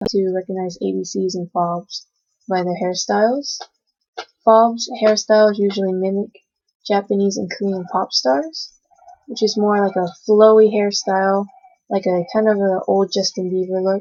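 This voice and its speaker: A woman with an American accent, medium in pitch, at a moderate pace with fairly even intonation. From US. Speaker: student. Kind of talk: oral presentation. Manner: halting.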